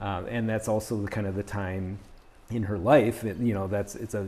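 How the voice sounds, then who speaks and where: Fairly low in pitch, a man talks at a moderate pace with fairly even intonation and a dark, mellow tone. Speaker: podcast host. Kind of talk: interview. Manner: halting, many fillers.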